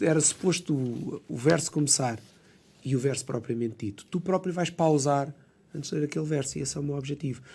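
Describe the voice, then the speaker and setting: A man with a fairly high pitch and a dark, mellow tone speaks with lively intonation, sounding somewhat breathy. The recording is very clean with a silent background. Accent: Lisbon. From Lisbon suburbs, Portugal. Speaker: architect and poet. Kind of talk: podcast interview answer. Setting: radio studio.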